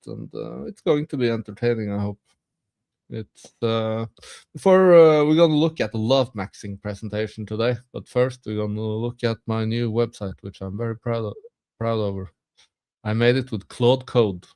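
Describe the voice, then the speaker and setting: In a Norwegian accent, a man with a dark, mellow tone and medium pitch talks at a moderate pace, with ordinary pitch variation, big swings in loudness, and a dry, close sound with no echo. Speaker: streamer. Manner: hesitant, many filler sounds.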